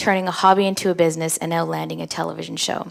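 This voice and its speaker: A woman is speaking. Her pace is fairly quick. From Newfoundland, Canada. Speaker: motivational speaker and TV host. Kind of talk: speech. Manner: halting.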